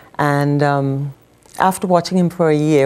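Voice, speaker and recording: A woman with a Bahamian accent, very deep and low in pitch, with fairly even intonation at a moderate pace. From Bahamas. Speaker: widow of a medical missionary, former nurse. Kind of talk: TV interview testimony.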